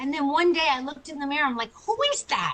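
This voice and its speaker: A woman with an American accent speaks in a raised, projected voice with a bright, sharp tone. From US Northeast (Long Island, New York). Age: 60s. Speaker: chiropractor and author. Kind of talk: interview testimony. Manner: animated.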